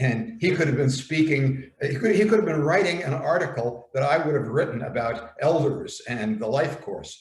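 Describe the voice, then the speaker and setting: A man with an American accent sounds somewhat breathy. He talks with lively intonation and hardly any pauses. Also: fairly high pitch for a man, moderate pace. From US, New York. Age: 70s. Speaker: elder writer on aging. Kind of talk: dialogue. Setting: video call.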